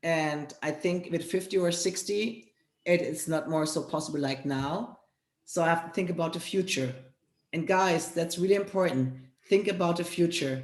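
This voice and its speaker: A woman speaks with a German accent, her pitch fairly low and its variation ordinary. Audible room echo surrounds her voice. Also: moderate pace. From Germany. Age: 40s. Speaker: fitness trainer and network marketer. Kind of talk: interview.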